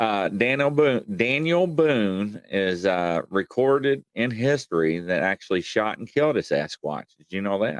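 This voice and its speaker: A man with a Southern US accent talks at a fairly slow pace with hardly any pauses, his fairly low pitch swinging very widely. His loudness rises and falls sharply, and the sound is dry and close with no echo. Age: 40s. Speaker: live stream host. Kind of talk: casual chat.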